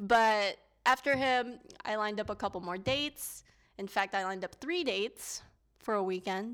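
A normal speaking voice at a moderate pace with ordinary pitch variation, in a very clean recording with a silent background. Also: woman, fairly high pitch for a woman. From US, Filipino immigrant family. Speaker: podcast co-host. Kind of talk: casual chat.

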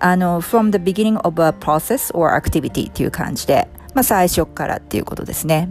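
With music in the background, a woman speaks at a fairly low pitch, hardly pausing at all. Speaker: coaching podcast host and English coach. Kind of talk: casual explanatory monologue, Japanese mixed with English. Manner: fast when speaking English; many fillers and hesitations.

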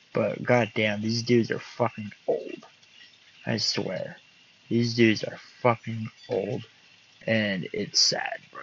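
There is noticeable background noise as a man talks at a fairly slow pace. His medium-pitched voice stays monotone and flat. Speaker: podcast host. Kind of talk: casual monologue. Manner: laid-back.

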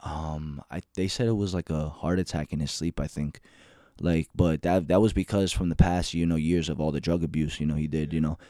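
A man with a very deep, low voice and an American accent speaks at a fairly quick pace in a dark, mellow tone, on a very clean recording with a silent background and a dry, close sound with no echo. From Union City, New Jersey. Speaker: podcast guest. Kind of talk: casual chat. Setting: studio. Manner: animated.

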